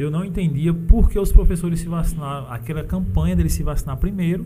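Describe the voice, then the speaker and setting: A man's high-pitched voice with lively intonation and a northeastern Brazilian accent. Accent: northeastern Brazilian Portuguese (sertão). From sertão of Paraíba, Brazil. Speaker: podcast host. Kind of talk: casual interview. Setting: studio.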